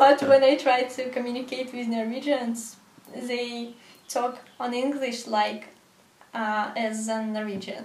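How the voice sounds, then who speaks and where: In a Russian accent, a woman with a high voice speaks fairly slowly in a monotone, flat intonation, her loudness swinging widely amid audible room echo and noticeable background noise. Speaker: video blogger. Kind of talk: interview. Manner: halting.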